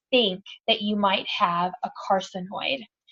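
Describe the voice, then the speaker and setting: In an American accent, a woman talks with an animated tone and a somewhat breathy voice. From Texas. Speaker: cancer survivor. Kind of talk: testimony. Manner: fast.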